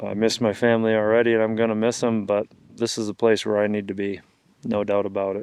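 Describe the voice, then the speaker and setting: With an American accent, a man talks at a very fast pace and a fairly low pitch, his intonation monotone and flat. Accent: Upper Midwest accent he calls Canadian. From Wisconsin, US Upper Midwest. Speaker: hunting guide and outdoor filmmaker. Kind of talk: reflective monologue to camera; casual chat.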